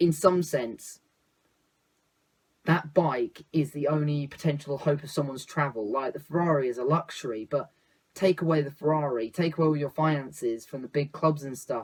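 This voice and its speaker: A man with a fairly high, somewhat breathy voice keeps his intonation fairly even. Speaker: football YouTuber. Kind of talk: opinion vlog monologue. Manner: fast; sometimes quiet.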